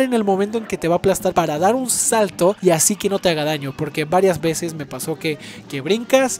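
A man with a Mexican accent speaks at a fairly quick pace and high pitch. Noticeable background noise can be heard. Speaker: gaming youtuber. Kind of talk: casual gameplay commentary. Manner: casual, filler-heavy.

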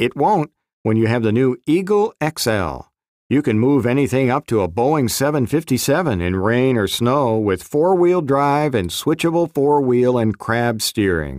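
In a very clean recording with a silent background and a dry, close sound with no echo, a man with an unremarkable speaking voice talks at medium pitch with lively intonation and a fairly slow pace. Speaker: voice actor. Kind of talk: on-hold marketing commercial read.

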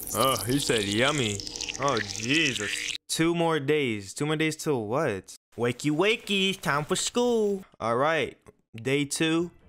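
Very slowly, a man talks in an American accent at a fairly high pitch, his voice swinging very widely in pitch. His loudness stays very even over light background noise. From New Jersey. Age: young. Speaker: gaming streamer. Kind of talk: gaming commentary. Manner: casual, energetic.

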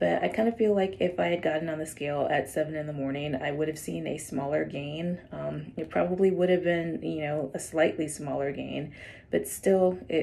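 Speaking at a moderate pace with hardly any pauses, the woman has a very deep, low pitch. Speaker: vlogger. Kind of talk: casual vlog chat. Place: home room. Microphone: phone near.

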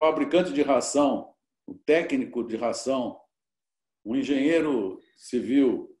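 A man speaks at a fairly slow pace, with audible room echo over a quiet background. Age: 70s. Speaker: cattle rancher and businessman; guest. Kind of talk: interview. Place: home room. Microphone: video call.

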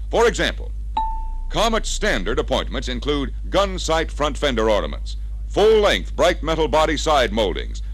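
Light background noise runs under the voice. The pace is moderate. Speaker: sales training film narrator. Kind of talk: scripted sales pitch narration for a slide-film training record. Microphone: old recording.

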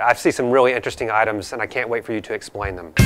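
With clear music in the background, a man speaks at a very fast pace. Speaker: travel show host. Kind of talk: interview questions. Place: shop.

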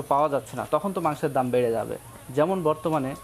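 Noticeable background noise sits under the recording. A man talks at a fairly high pitch. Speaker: agriculture YouTuber interviewing farmers. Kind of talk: on-location interview and report.

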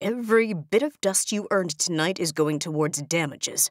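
A growling, put-on character voice at middle pitch and a moderate pace.

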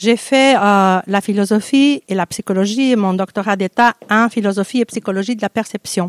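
This woman has a Portuguese accent and speaks at a moderate pace with hardly any pauses and fairly even intonation. The sound is dry with no echo, over a quiet background. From Portugal, Porto; Portugal. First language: Portuguese (speaking French). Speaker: poet and university lecturer; poet. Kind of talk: interview self-introduction. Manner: halting, many hesitations. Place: stage. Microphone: handheld.

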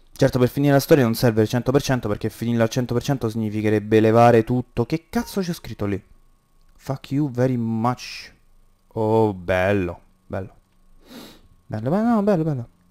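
Dark and mellow in tone, a man's voice sits at a medium pitch with ordinary variation, moving at a moderate pace with long, frequent pauses, on a very clean recording with a silent background and a dry, close sound with no echo. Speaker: gaming youtuber. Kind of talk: let's play commentary. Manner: animated.

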